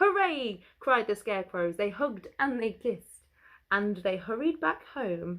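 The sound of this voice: This is an unforced reading voice. The words are read aloud.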